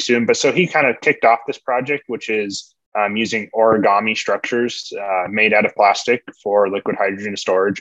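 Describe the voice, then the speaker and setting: Speaking with an American accent, a man uses a normal speaking voice at a moderate pace with ordinary pitch variation, in a dry, close sound with no echo. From California. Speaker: doctoral student. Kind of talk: interview.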